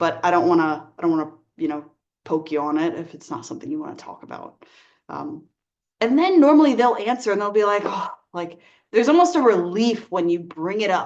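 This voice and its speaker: An unremarkable speaking voice from a woman, fairly quick in pace with lively intonation. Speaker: life coach. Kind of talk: talking-head advice video. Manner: casual, many fillers.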